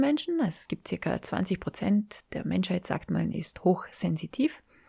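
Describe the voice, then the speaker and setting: In a dry, close sound with no echo, a woman's voice comes across warm, dark, mellow and somewhat breathy. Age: 40s. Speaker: podcast host and life coach. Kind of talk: solo podcast monologue. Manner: warm, informal.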